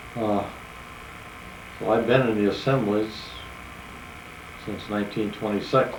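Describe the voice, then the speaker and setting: With audible room echo and noticeable background noise, a man with a fairly low pitch speaks at a moderate pace, taking long, frequent pauses. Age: 70s. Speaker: retired farmer recalling his life. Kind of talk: personal reminiscence told to family. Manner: halting, many fillers.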